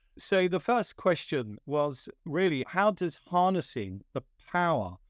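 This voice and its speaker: In a plain, everyday voice, a man speaks at a fairly slow pace with lively intonation, recorded very cleanly with a silent background and a dry, close sound with no echo. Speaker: podcast host, security industry professional. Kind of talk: interview.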